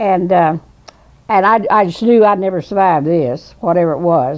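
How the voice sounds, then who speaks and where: A woman speaks at a fairly low pitch with a Southern US accent. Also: ordinary pitch variation, moderate pace. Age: 80s+. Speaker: storyteller. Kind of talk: storytelling interview. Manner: halting.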